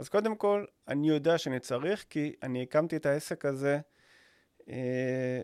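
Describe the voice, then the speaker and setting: At a very slow pace, a man talks in a fairly high voice, captured with a dry, close sound and no echo. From Israel, Rishon LeZion. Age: 40s. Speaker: podcast co-host, business owner. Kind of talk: casual chat.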